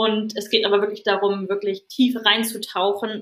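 A woman speaks in a bright, sharp tone. Her intonation stays fairly even. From northern Germany, Schleswig-Holstein (Stormarn). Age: 30s. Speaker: yoga teacher. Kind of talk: casual chat.

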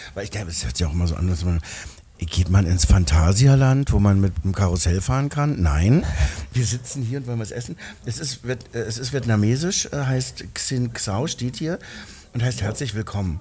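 A man speaks at a fairly low pitch with very wide pitch swings and a moderate pace. Noticeable background noise sits behind him. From East Berlin. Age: 50s. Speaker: actor and singer. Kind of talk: casual chat. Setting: restaurant.

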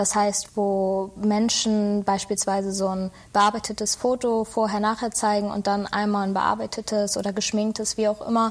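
A woman of medium pitch speaks at a moderate pace in a flat, monotone way. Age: 20s. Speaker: media design student and social media employee. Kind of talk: casual interview.

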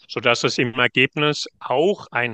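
Bright and sharp in tone, the voice has ordinary pitch variation and a dry, close sound with no echo against a quiet background. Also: man. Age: 60s. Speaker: management consultant. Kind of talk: interview. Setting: virtual studio, remote recording.

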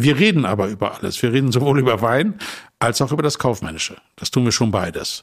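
At a fairly quick pace, a man uses an ordinary speaking voice with ordinary pitch variation. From northern Germany, Emsland. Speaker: wine merchant. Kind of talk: casual chat. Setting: hotel suite.

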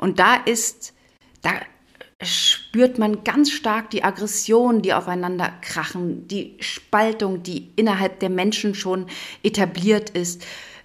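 This woman talks very slowly at a medium pitch. Her pitch variation is ordinary. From East Berlin. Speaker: theatre director. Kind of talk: interview.

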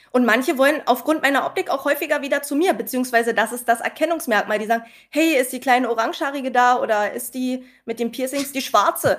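Her pitch high and its variation ordinary, a woman talks at a very fast pace. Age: young. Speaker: pharmacy technician. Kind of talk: casual interview with anecdotes.

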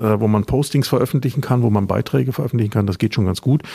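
This man has a dark, mellow tone, a somewhat breathy voice, medium pitch and ordinary pitch variation, recorded with a dry, close sound and no echo. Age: 50s. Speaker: podcast host, former marketing lecturer. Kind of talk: interview. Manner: hesitant fillers.

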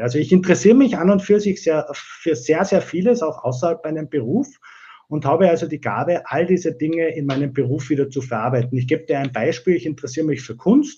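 In a dark, mellow tone, a man speaks at a fairly high pitch with lively intonation and a very fast pace. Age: 40s. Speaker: digital transformation consultant and company owner. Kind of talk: interview. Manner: hesitant, many filler sounds.

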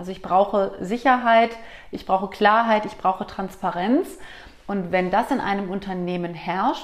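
A woman's normal speaking voice of medium pitch, with ordinary pitch variation and a fairly slow pace. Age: 40s. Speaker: company director and coach. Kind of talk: interview conversation.

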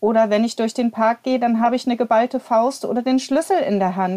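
A woman speaks at a high pitch with ordinary pitch variation. Her tone is dark and mellow. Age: 40s. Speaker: church inclusion officer and abuse survivor representative. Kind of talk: casual chat. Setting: remote recording.

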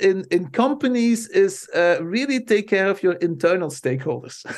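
A man with a Flemish Belgian accent speaks at a high pitch. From Belgium. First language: Dutch. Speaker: marketing professor. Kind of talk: interview.

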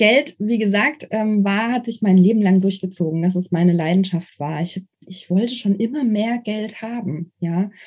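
Her delivery comes fairly slowly, and the woman's voice has a somewhat breathy quality. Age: 30s. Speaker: investor and former hotel professional. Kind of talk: casual interview.

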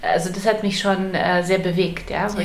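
A woman with a medium pitch talks at a moderate pace in a flat monotone. Noticeable background noise and audible room echo fill the recording. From Poland, moved to Germany at eight. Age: 40s. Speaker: publisher and author. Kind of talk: interview. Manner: hesitant, many fillers.

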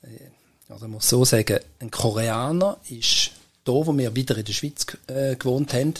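Somewhat breathy, a man with a Swiss accent speaks at a medium pitch with ordinary pitch variation. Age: 70s. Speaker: entrepreneur and inventor. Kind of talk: interview.

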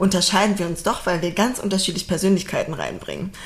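A woman's fairly even intonation over noticeable background noise. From Berlin, Germany. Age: 30s. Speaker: podcast co-host, team leader. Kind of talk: casual chat.

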